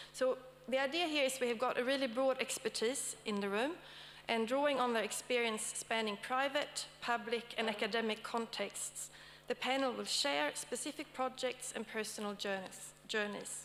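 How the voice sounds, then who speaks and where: A woman with a Swedish accent talks at a moderate pace and a high pitch with ordinary pitch variation. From Sweden. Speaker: academic panel moderator. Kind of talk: conference talk. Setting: stage with audience. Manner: hesitant, with many fillers.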